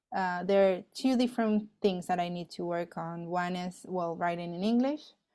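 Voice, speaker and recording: Over a quiet background, a woman with a Spanish accent speaks at a moderate pace in a dark, mellow tone of medium pitch, with ordinary pitch variation. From Argentina. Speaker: astrophysicist. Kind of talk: interview. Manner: hesitant, many fillers.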